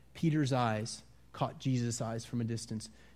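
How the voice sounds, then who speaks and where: Audible room echo surrounds a man talking at a moderate pace, his medium pitch carried by fairly even intonation. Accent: American. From US Midwest, Wisconsin. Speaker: pastor. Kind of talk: sermon. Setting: church.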